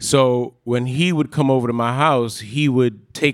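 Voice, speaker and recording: A man with a New York accent speaks at a medium pitch in a very clean recording with a silent background. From Park Slope, Brooklyn. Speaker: cousin of the late host. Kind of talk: storytelling on stage. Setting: stage with audience.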